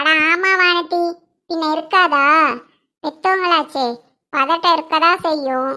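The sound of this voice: Using a cartoonish character voice, a woman talks at an extremely high pitch with fairly even intonation and a fairly slow pace.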